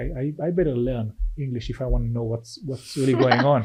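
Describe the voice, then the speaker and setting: The speaker is a man. He talks with an Israeli accent. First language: Hebrew. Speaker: venture capital investor. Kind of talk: podcast interview. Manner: halting, many repetitions.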